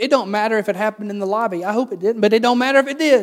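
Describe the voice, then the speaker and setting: With a Southern US accent, a man rattles off words at a very fast pace in a high pitch. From US South. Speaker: pastor. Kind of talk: sermon.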